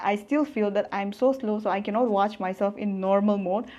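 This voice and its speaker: Speaking fairly quickly with fairly even intonation, a woman uses a normal speaking voice at a fairly high pitch. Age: 20s. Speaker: online business coach. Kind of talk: motivational vlog talk. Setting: self-filmed with phone front camera.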